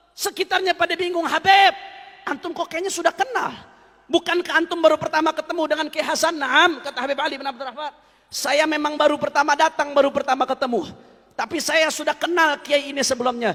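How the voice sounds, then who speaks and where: A man with an extremely high pitch talks in a raised, projected voice at a very fast pace, his pitch varying in an ordinary way. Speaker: preacher. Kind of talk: religious sermon, storytelling to an audience.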